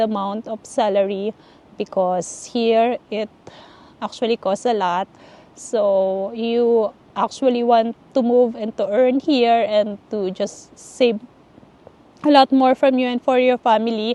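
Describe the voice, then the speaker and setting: With a Filipino accent, a woman speaks at a very slow pace in a fairly high pitch, her tone dark and mellow and her intonation fairly even, the sound dry and close with no echo. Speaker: vlogger, nurse living abroad. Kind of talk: casual advice vlog. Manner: halting, many fillers.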